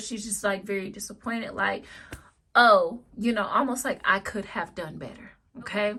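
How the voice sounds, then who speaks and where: A woman speaks. Her tone is bright and sharp. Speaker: tarot reader. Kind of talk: psychic reading monologue. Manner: casual, filler-heavy.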